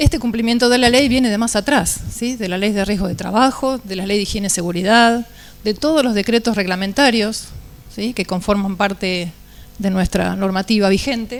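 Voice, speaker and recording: A woman's medium-pitched voice with ordinary pitch variation at a moderate pace. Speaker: engineer panelist. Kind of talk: panel talk presentation. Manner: soft-spoken; halting.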